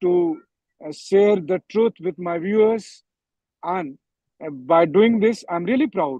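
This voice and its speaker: The speaker has an Indian accent and a very slow pace. Long pauses come often. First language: Hindi. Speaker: journalist. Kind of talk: panel discussion. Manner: halting, many fillers.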